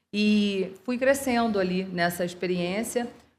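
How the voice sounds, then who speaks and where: A speaker with a Rio de Janeiro accent talks with ordinary pitch variation. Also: woman. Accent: carioca (Rio de Janeiro). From Rio de Janeiro, Brazil. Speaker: lawyer, law firm partner and CEO. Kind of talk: interview podcast. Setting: podcast recorded at a trade fair.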